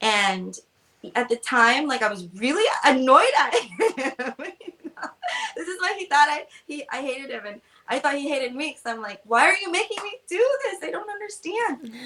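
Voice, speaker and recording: Using a raised, projected voice, a woman speaks at a moderate pace in a high pitch, with very wide pitch swings and big swings in loudness. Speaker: travel agent. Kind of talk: casual chat. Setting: live video stream. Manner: high energy.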